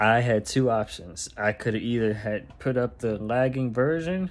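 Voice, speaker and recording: Moderate pace from a man. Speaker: rapper vlogger. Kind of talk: casual vlog chat. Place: home room. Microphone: phone near.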